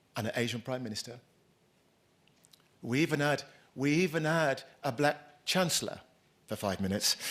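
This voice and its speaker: A man with a British accent speaks at a moderate pace with long, frequent pauses, on a very clean recording with a silent background. His voice is fairly high in pitch, with ordinary pitch variation. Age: 60s. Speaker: keynote speaker, former racial justice activist, college head. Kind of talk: conference keynote speech. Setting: conference stage with live audience. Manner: conversational, repeats words often.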